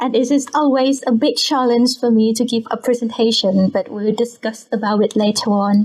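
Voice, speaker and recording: High-pitched woman in a Thai accent, moderate in pace, very even in loudness, with fairly even intonation and hardly any pauses. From Bangkok, Thailand. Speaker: scientist. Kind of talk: casual interview.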